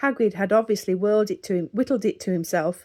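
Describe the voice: The clip is plain reading aloud, its pitch varying an ordinary amount.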